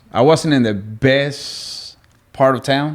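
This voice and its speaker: A man talks at a fairly slow pace in a Spanish accent on a very clean recording with a silent background. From Venezuela. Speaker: guest. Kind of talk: casual chat.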